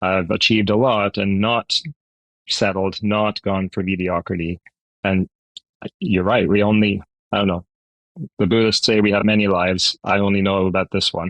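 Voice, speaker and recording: A man speaks at a moderate pace in a fairly low pitch, with monotone, flat intonation and long, frequent pauses. His loudness stays very even, and the sound is dry and close with no echo. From Scotland, then Canada from age eleven. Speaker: podcast host, CEO coach. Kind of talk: podcast interview.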